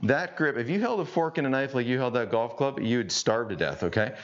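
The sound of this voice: This man speaks at a fairly quick pace and medium pitch, with big pitch swings.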